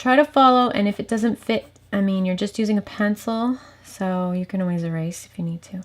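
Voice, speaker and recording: This is a normal speaking voice. It moves at a fairly quick pace. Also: woman. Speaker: art teacher for kids. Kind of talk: drawing tutorial. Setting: home office.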